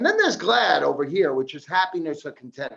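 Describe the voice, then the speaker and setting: Sounding animated, a man talks with a Long Island accent. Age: 50s. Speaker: addiction counselor. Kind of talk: seminar talk.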